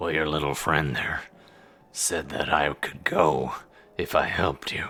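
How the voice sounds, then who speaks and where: A man uses a put-on character voice, raspy and very deep in pitch. He moves at a moderate pace. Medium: actual play.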